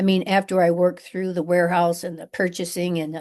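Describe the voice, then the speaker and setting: A woman speaks at a fairly low pitch against a quiet background. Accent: American. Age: 60s. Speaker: business owner. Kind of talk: interview. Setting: podcast. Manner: halting, many fillers.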